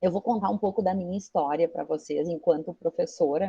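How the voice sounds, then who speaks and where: A dark, mellow, somewhat breathy tone in a dry, close sound with no echo. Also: woman. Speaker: teacher and researcher. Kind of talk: guest talk to a class.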